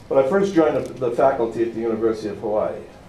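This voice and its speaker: With lively intonation, a man talks amid noticeable background noise and audible room echo. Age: 60s. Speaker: professor. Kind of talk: lecture. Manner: energetic.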